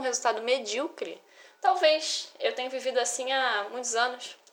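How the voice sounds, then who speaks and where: A woman's high-pitched voice. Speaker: podcaster. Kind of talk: casual monologue. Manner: animated.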